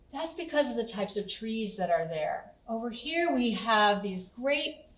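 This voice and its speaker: A woman at a moderate pace, with audible room echo. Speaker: conservation educator. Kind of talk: educational explanation. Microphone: camera far.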